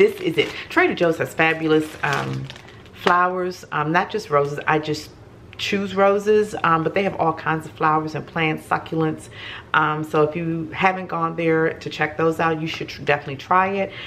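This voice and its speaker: Light background noise sits behind a woman with a normal speaking voice. Her pitch is fairly low and her intonation fairly even. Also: moderate pace. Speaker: home vlogger. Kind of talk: casual haul vlog chat. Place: kitchen. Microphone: camera far.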